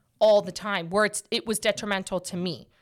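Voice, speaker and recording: A woman speaks loud at a moderate pace in a medium pitch, with a bright, sharp, animated tone, in a very clean recording with a silent background. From Portuguese heritage. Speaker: podcast host. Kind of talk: casual chat. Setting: studio.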